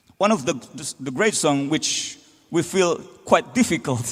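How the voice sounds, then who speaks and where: A man speaks at a fairly slow pace over music in the background. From Indonesia, Sundanese (West Java). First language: Indonesian/Sundanese. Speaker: band frontman. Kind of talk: stage banter between songs. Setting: stage with audience.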